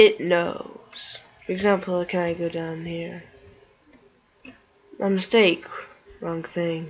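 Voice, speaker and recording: Amid noticeable background noise, a woman speaks quietly at a very slow pace in a fairly low, monotone, flat voice, with long, frequent pauses. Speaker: gaming youtuber. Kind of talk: gameplay commentary.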